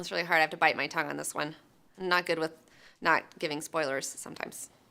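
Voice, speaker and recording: A woman's very deep, low voice with an American accent, bright and sharp in tone, with vocal fry, fairly even intonation and a very fast pace. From US South, Alabama. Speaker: movie reviewer, channel host. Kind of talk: casual chat review. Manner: casual, conversational.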